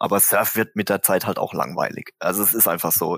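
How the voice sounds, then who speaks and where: At a moderate pace, the voice comes across dry and close with no echo. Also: man. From Germany, Mannheim. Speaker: drummer and singer in a band. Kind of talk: casual interview. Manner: hesitant, many fillers.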